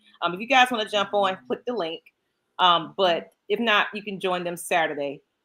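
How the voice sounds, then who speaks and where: Her tone is bright and sharp, with medium pitch and ordinary pitch variation. The woman speaks at a moderate pace with an American accent. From US South, Georgia. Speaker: podcast co-host. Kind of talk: casual chat.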